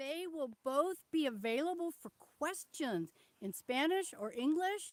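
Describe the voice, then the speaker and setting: Shouting at a fairly slow pace, a woman with a high pitch makes very wide pitch swings and big swings in loudness, the sound dry and close with no echo. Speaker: veterinarian and conservationist leading a tour. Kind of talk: live-stream tour. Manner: loud, almost yelling. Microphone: poor sound, some viewers cannot hear.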